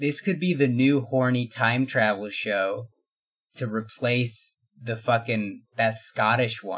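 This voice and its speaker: A man speaks very slowly in a very clean recording with a silent background. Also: medium pitch for a man, ordinary pitch variation. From Mexican-American household. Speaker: podcast guest. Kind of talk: casual chat.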